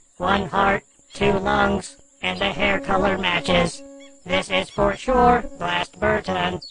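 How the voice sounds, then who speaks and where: Here a man does a put-on character voice with a high pitch. He talks at a fairly slow pace. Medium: audio drama. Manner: literal, earnest.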